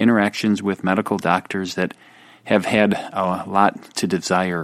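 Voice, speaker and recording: A man speaks in a fairly low pitch with a slight Wisconsin accent. The recording is very clean, with a silent background and a dry, close sound with no echo. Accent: slight Wisconsin Midwest US. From Wisconsin, US. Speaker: doctor and podcast host. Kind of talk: interview conversation about chronic pain.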